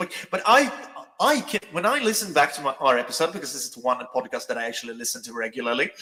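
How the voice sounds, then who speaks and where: Over noticeable background noise, a man with a fairly high pitch talks at a very fast pace, his voice showing big swings in loudness and very wide pitch swings. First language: Swedish. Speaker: podcast co-host. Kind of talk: casual chat.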